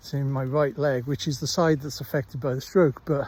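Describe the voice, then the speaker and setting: Talking at a fairly quick pace with a slight Welsh accent, a man uses a fairly high, somewhat breathy voice with fairly even intonation. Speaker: stroke survivor vlogger, former teacher. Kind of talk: casual vlog monologue. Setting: outdoors walking the dog. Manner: halting, with many fillers.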